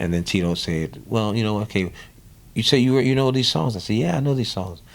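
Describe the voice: A man's fairly low voice in a New Orleans accent, at a fairly quick pace, with vocal fry and ordinary pitch variation. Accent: New Orleans, American South.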